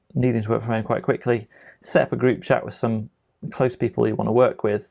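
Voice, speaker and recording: A man mumbles at a medium pitch against a quiet background. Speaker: tech trainer; software trainer. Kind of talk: tutorial. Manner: mumbling; casual, with many fillers. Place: home room.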